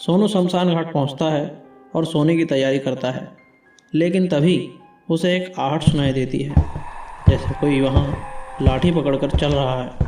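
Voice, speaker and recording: A man's fairly high voice is heard while music plays behind him. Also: ordinary pitch variation. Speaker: storyteller. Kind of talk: animated horror story narration.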